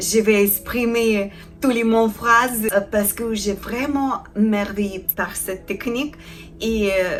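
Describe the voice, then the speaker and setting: Over music in the background, a woman with a Ukrainian accent speaks very slowly at a fairly high pitch, her intonation fairly even. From Ukraine. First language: Ukrainian (speaking French). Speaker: felting artisan. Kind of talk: tutorial. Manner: halting, many hesitations.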